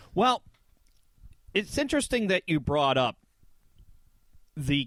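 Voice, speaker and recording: With a Michigan accent, a man speaks with lively intonation in a dry, close sound that has no echo. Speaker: podcast co-host. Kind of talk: casual chat.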